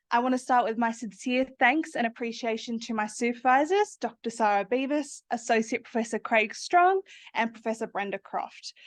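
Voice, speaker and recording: An Australian accent marks this woman's high voice, which has ordinary pitch variation. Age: 20s. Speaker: PhD student. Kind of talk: academic presentation. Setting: seminar room with audience.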